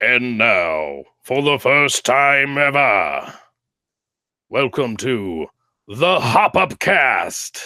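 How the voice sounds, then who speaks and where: A man uses a put-on character voice at a medium pitch and a very slow pace. Long, frequent pauses break it up, and the recording is very clean with a silent background. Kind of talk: showy, introductory. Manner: exaggerated, announcer style.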